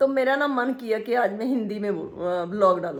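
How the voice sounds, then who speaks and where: A woman is talking here. She uses a fairly high pitch. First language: Punjabi (speaking Hindi). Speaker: vlogger. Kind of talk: casual vlog talk. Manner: halting, with many fillers.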